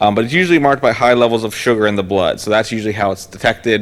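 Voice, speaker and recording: A man with a fairly low voice talks very fast, with ordinary pitch variation and noticeable background noise. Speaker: health educator. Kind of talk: lecture.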